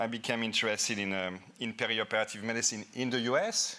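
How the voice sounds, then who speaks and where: In a very clean recording with a silent background, a man speaks with a French accent at a medium pitch. His tone is bright and sharp, and his pace is fairly quick. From France. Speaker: anesthesiologist and professor. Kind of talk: conference lecture. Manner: halting, with repetitions.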